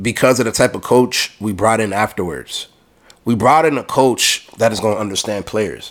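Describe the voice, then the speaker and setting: A man is talking. His pace is fairly slow. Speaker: podcast host. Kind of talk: heated argument, pressing a hypothetical at his cohost. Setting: studio.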